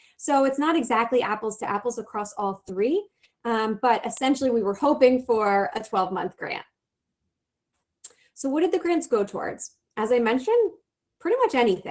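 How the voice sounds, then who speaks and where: A woman speaks in a high pitch with lively intonation. She leaves long, frequent pauses. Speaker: nonprofit program director. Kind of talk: conference presentation. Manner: fast.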